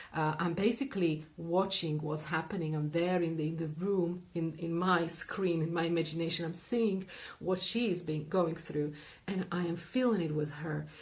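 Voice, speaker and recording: A woman at a moderate pace, fairly low in pitch with fairly even intonation, amid audible room echo and noticeable background noise. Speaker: therapist and coach. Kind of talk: explanatory talk to camera.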